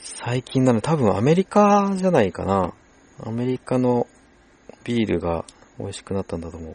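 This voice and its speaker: A moderate pace with very wide pitch swings and big swings in loudness, in a dry, close sound with no echo. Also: man, medium pitch for a man. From Japan, Shizuoka. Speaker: podcast host. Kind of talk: casual chat.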